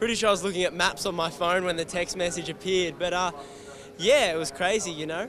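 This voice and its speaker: Over noticeable background noise, a high-pitched man in an Australian accent talks at a very fast pace. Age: 20s. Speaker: motorcycle racer. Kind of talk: interview.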